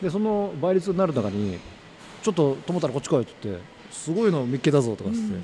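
The delivery moves at a very fast pace. Pitch swings very widely throughout. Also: man, fairly high pitch for a man. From Tokyo (Ogikubo). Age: 50s. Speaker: company president, curry restaurant founder. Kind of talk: interview, life story. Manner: casual, filler-heavy.

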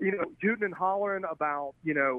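A man with an American accent, high in pitch, with ordinary pitch variation. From Alabama. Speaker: film director and fly angler. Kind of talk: casual interview.

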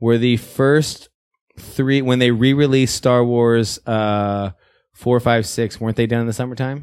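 A man with a plain, everyday voice, medium pitch and fairly even intonation at a fairly slow pace, on a very clean recording with a silent background. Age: 30s. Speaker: film podcast co-host. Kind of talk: casual chat.

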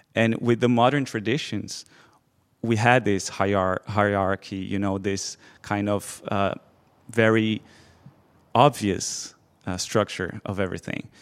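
This speaker has a Portuguese accent, keeps a fairly slow pace with long, frequent pauses, and is heard in a very clean recording with a silent background. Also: man, fairly low pitch for a man, fairly even intonation. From Brazil. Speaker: PhD student, former scriptwriter. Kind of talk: live interview with audience. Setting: stage with audience.

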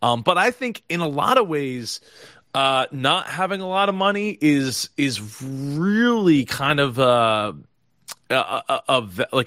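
A man with a Philadelphia accent, fairly high pitch, very wide pitch swings and an animated, bright, sharp tone, in a dry, close sound with no echo and a very clean recording over a silent background. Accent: Philadelphia-area American. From US Northeast (South Jersey, Philadelphia area). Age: 30s. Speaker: business strategist, interview host. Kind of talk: casual interview.

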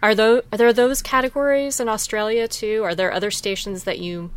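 A woman with an unremarkable speaking voice talks at a fairly high pitch and a fairly quick pace, with ordinary pitch variation and hardly any pauses. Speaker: radio show co-host. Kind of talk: casual interview chat.

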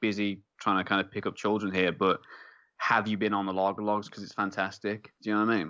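Very fast and fairly low in pitch, a man speaks with an English accent. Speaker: podcast host. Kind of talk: casual banter, beer review. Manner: joking, rambling.

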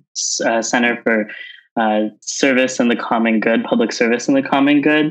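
With an American accent, an ordinary speaking voice keeps a fairly even intonation. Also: man. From Southern California. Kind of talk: interview.

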